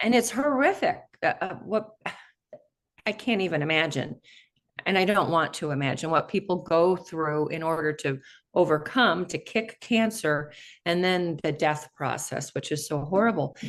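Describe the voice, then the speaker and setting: This woman has an ordinary speaking voice, fairly low in pitch, with lively intonation. She talks at a moderate pace against a quiet background. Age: 60s. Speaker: interview show host. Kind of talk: interview.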